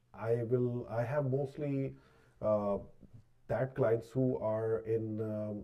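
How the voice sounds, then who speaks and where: The pitch varies in an ordinary way as the words come out very slowly. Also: man, medium pitch for a man. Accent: Punjabi. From Pakistan. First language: Punjabi. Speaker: realtor and mortgage agent. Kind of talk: live podcast chat. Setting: live-streamed studio. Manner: halting, many fillers.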